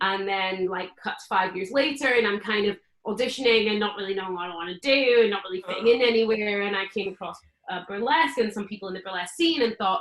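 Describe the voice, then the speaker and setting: Here a woman speaks in a Scottish accent at a medium pitch. Her pace is very fast, with ordinary pitch variation. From Scotland. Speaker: burlesque performer. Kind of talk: casual chat.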